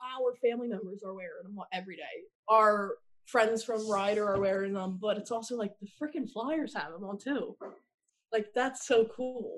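A woman speaks in a normal speaking voice at a moderate pace, her fairly high pitch moving with ordinary variation while her loudness swings widely. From New Jersey, US. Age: 20s. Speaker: university student, patient's sister. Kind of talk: casual interview.

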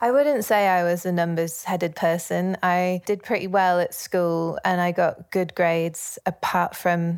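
A woman speaks with a Yorkshire accent on a very clean recording with a silent background. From northern England, Leeds, Yorkshire. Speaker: musician. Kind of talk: interview.

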